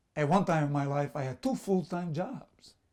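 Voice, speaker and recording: Lively intonation and a dark, mellow tone mark this man's voice in a Sicilian accent. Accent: Italian (Sicilian) accent in English. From Sicily, Italy. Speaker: immigrant business owner. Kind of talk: personal storytelling. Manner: halting, with fillers and repetitions.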